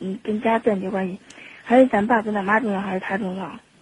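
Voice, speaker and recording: A woman's somewhat breathy voice at medium pitch, with fairly even intonation. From Xinxiang, Henan, China. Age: 20s. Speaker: radio call-in caller. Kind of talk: phone-in advice conversation. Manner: halting, many hesitations.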